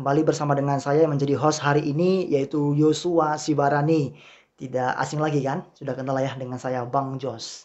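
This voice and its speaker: Taking hardly any pauses, a man talks at a fairly quick pace in a monotone, flat intonation. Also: fairly high pitch for a man. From Riau, Indonesia. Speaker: podcast host, lecturer. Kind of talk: casual chat.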